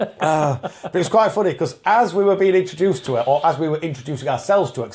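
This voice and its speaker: With a Yorkshire accent, the speaker goes at a very fast pace using lively intonation. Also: man, fairly high pitch for a man. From Yorkshire, England.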